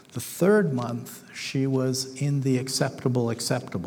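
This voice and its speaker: With noticeable background noise and audible room echo, a man speaks at a medium pitch. His pace is fairly slow, with ordinary pitch variation. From northern England, Manchester. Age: 60s. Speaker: missionary. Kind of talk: sermon.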